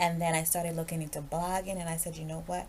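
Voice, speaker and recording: The speaker is a woman with an American accent. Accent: slight Virgin Islands accent, occasionally. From US Virgin Islands, Saint Thomas. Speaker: podcast host. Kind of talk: casual monologue.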